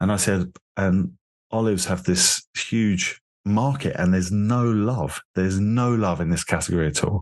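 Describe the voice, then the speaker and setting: A man with a London accent at a moderate pace and a fairly low pitch, with ordinary pitch variation and a quiet background. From London, England. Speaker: beverage company founder. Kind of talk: interview conversation.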